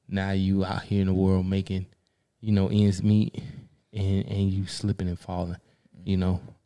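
With an American accent, a man speaks at a moderate pace in a very deep, low pitch and a dark, mellow tone on a very clean recording with a silent background. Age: 30s. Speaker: podcast host. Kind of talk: casual chat.

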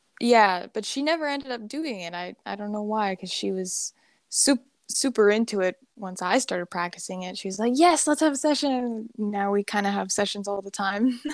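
This woman has an unremarkable speaking voice with a medium pitch and lively intonation. She talks at a moderate pace, with big swings in loudness. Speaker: hypnosis practitioner. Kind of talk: casual interview chat. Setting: remote call.

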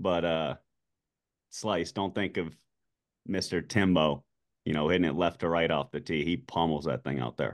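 Vocal fry from a man at a moderate pace, with ordinary pitch variation and long, frequent pauses. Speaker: golf podcast co-host. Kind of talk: casual chat. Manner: joking.

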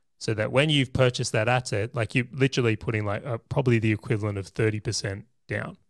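A man with an Australian accent at medium pitch, at a very fast pace with hardly any pauses, in a dry, close sound with no echo. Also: fairly even intonation, very clean recording, silent background. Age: 30s. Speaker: property investor and business owner. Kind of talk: podcast interview.

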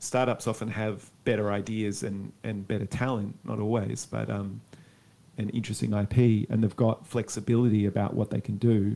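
This man has an Australian accent and a fairly low pitch. He speaks at a moderate pace. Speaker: academic. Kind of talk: interview.

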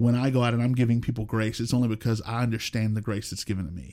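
A man with an American accent speaks at a very fast pace and medium pitch, his tone dark and mellow. His intonation is fairly even, on a very clean recording with a silent background. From Oklahoma (rural, near Marlow). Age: 40s. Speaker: pastor. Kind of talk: casual chat. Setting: studio.

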